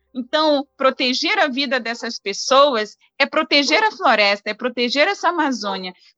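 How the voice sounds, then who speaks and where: A woman's raised, projected voice, high in pitch, with very wide pitch swings. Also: moderate pace, dry, close sound with no echo. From Brazilian Amazon, banks of the Solimões River. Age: young. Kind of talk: interview conversation.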